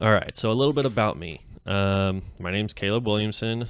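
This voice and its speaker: Here a man talks with an American accent. He moves at a fairly quick pace. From US West, Clovis, Fresno County, California. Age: 20s. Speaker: podcast co-host, card game player. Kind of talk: casual chat. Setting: podcast recording.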